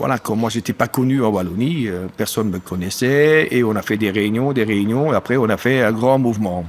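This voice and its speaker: A man with a medium-pitched voice speaks with hardly any pauses and ordinary pitch variation. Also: moderate pace, very clean recording, silent background. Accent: German. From German-speaking eastern Belgium (Amblève). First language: German (speaking French). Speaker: dairy farmer and union activist. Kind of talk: casual interview chat. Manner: hesitant, many fillers.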